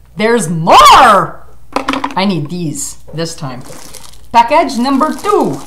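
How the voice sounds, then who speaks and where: A woman talks very slowly while loud noise fills the background. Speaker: vlogger. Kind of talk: casual vlog chat. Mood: excited, grateful. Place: home room. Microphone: webcam.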